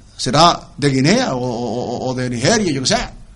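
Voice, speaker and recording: Audible room echo surrounds a man whose voice is somewhat breathy. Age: 70s. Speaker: writer. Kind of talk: interview.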